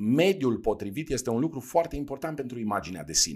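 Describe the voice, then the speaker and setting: Against a silent background in a very clean recording, a man at a medium pitch makes very wide pitch swings. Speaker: podcast host, leadership coach. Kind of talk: solo podcast talk on personal development. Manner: hesitant, with fillers and repetitions.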